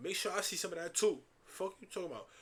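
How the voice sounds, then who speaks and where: A man with a New York accent at a very fast pace. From New York City. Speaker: streamer. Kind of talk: live stream reaction commentary. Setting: live stream.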